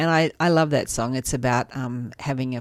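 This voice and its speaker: Noticeable background noise sits behind a woman's voice. She speaks with an Australian accent at a very deep, low pitch. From western Sydney, Australia. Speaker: charity chief executive. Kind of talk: radio interview. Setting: radio studio.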